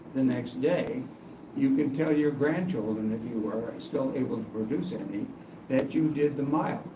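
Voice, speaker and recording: Over noticeable background noise and audible room echo, a man talks at a fairly slow pace in a fairly high pitch. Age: 70s. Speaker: user group organizer. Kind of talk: casual chat. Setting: public library meeting room. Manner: halting.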